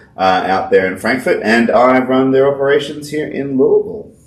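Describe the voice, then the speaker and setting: A man with an Australian accent speaks at a moderate pace, his fairly low pitch carrying lively intonation. Noticeable background noise and audible room echo fill the recording. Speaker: whiskey podcast co-host, distillery worker. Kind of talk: casual chat.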